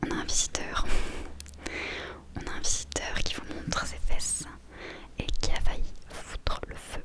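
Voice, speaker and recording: Someone whispers at a fairly slow pace. Long, frequent pauses break up the speech, with noticeable background noise behind it. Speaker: book reader / ASMR creator. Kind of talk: casual talk to camera. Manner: whispered.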